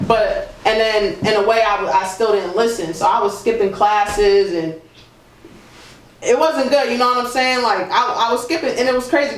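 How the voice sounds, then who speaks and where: A man with an American accent speaks at an extremely high pitch and a moderate pace, his tone animated and his pitch variation ordinary. Noticeable background noise and audible room echo fill the recording. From Boston. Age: 30s. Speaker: musician. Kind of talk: interview. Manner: casual, animated.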